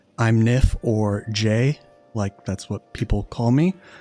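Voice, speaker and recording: Music plays in the background of this dry, close recording with no echo. The speaker goes at a moderate pace with an American accent. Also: man. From California. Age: 30s. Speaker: podcast host. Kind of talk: casual chat. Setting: video call.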